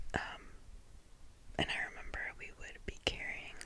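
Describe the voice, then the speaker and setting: A woman whispers over noticeable background noise. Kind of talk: ASMR whisper ramble, casual talk to camera. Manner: whispered, soft-spoken, chatty.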